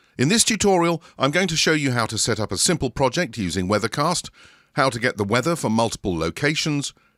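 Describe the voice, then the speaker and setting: Speaking very fast with a British accent, a man at medium pitch uses very wide pitch swings and vocal fry, recorded very cleanly against a silent background with a dry, close sound and no echo. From Britain. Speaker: software tutorial presenter. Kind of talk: tutorial.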